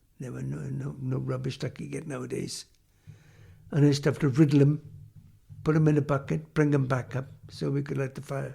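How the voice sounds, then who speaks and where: A dark, mellow, somewhat breathy voice in a South Wales Valleys accent at a moderate pace. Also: man. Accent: Welsh English (South Wales valleys). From South Wales, Hirwaun near Aberdare. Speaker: former coal miner. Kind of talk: oral history interview. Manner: halting.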